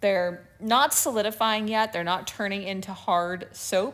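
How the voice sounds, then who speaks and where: A woman talks with ordinary pitch variation. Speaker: soap maker. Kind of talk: voiceover narration of a craft video. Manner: hesitant, rambling, many filler words.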